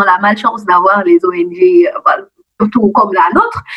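The voice moves at a fairly slow pace with very wide pitch swings, over noticeable background noise. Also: woman. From Guinea. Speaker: student activist. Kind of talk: interview. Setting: phone call.

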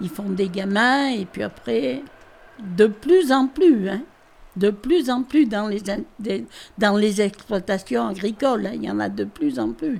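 A woman with a medium-pitched, somewhat breathy voice talks at a very slow pace, her pitch swinging very widely between long, frequent pauses. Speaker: farmer. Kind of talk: interview.

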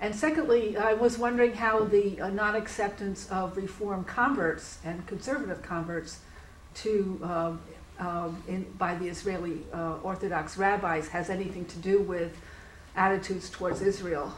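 Through noticeable background noise, a woman speaks at medium pitch and a moderate pace with ordinary pitch variation. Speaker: audience questioner, retired diplomat. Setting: lecture hall with audience questions.

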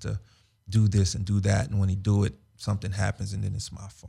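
With an American accent, a man speaks at a fairly low pitch. His tone is dark and mellow, and somewhat breathy. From Los Angeles. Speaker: former football player. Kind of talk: casual interview. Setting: studio.

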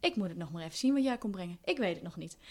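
A woman talks at a medium pitch and a very fast pace. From Netherlands, Deventer. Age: 30s. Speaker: communications consultant and inclusion advocate. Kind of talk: casual interview. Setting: kitchen table at home.

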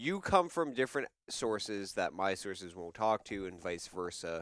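A normal speaking voice with lively intonation at a moderate pace, dry and close with no echo. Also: man. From Canada. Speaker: news show host. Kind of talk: comedic mock news show, casual chat. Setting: studio.

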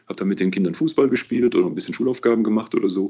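The speaker is a man with a medium pitch. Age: 60s. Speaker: auxiliary bishop. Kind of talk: interview. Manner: relaxed.

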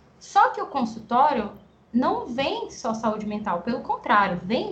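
A woman talks, and noticeable background noise can be heard around her. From Guarulhos, São Paulo, Brazil. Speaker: speech therapist and researcher. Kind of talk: interview.

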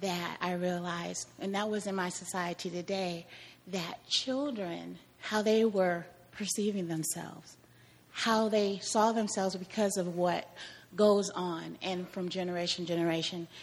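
This woman has an ordinary speaking voice, medium pitch and an American accent. She talks at a fairly slow pace with fairly even intonation. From Kansas. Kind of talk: testimony.

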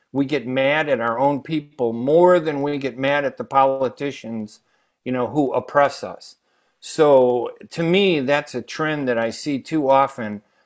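In a quiet background, a man with an American accent talks at a fairly slow pace, his fairly high voice showing ordinary pitch variation. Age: 60s. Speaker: journalist. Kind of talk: radio panel discussion. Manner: hesitant, many um fillers.

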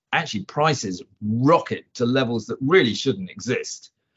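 Here a man speaks at a fairly slow pace and medium pitch in an ordinary speaking voice. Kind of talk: casual chat.

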